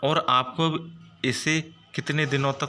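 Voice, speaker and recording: A man with a non-native accent speaks at a fairly high pitch in a bright, sharp tone. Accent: non-native Hindi, self-described weak. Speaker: stock market YouTuber. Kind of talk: stock market commentary video. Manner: animated, enthusiastic.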